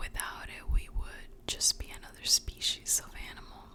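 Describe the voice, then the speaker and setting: A woman whispering at a fairly slow pace over noticeable background noise. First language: Spanish. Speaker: ASMR creator. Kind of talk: whispered ASMR book reading for sleep. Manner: whispered, soft, slow.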